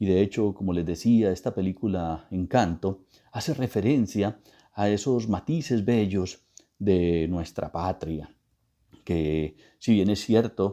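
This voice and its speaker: A man speaks very slowly with an Antioquian accent, his pitch fairly low and its variation ordinary. His tone is dark and mellow against a quiet background. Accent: Antioquian Colombian (paisa). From Colombia, Antioquia. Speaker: guest speaker on Colombian culture. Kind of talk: interview talk. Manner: formal.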